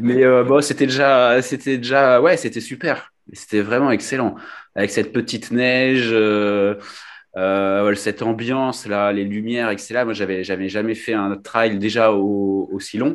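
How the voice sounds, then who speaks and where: Against a quiet background, a man with a slight Nice accent talks at a fairly slow pace, medium pitch, and fairly even intonation. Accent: slight southern French (Nice). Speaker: kidney transplant recipient and trail runner. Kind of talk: interview testimony. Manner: hesitant, many fillers.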